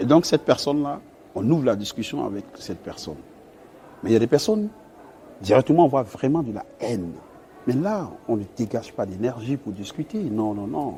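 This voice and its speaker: A man with a dark, mellow, somewhat breathy voice at a medium pitch makes very wide pitch swings and big swings in loudness, with long, frequent pauses. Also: moderate pace. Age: 30s. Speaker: naval engineer. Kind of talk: interview.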